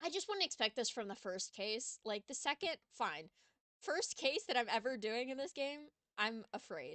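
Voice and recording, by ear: Someone reads aloud in a natural voice while the background stays quiet.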